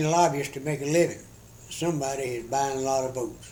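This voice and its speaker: Amid audible room echo, a man talks at a fairly quick pace with a fairly high pitch and fairly even intonation. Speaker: retired government employee. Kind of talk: interview. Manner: halting.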